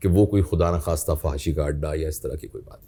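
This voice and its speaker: A man speaks in a somewhat breathy voice. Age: 60s. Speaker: professor. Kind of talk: interview.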